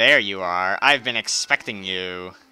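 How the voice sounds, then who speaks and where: A man's put-on, sinister character voice, very deep and low, at a fairly slow pace over background music. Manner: mean, sinister.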